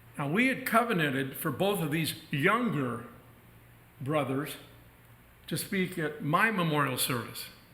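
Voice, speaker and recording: In a room with audible echo, a man with a fairly high voice speaks fairly slowly, with very wide pitch swings and long, frequent pauses. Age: 70s. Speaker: minister. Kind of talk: sermon. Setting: church.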